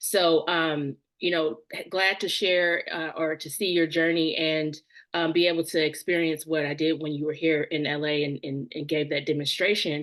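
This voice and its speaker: Using a very deep, low pitch, a woman with a Southern US accent speaks at a moderate pace with fairly even intonation. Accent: Southern twang. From US South. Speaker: podcast host. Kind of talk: interview conversation. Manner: hesitant, many fillers.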